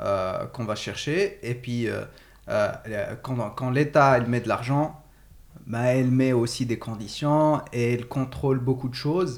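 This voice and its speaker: Speaking at a medium pitch, a man lets his pitch shift in an ordinary way. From Morocco. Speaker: podcast host. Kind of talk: casual discussion. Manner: halting.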